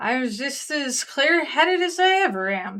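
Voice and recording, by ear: A put-on character voice, high in pitch with very wide pitch swings, at a moderate pace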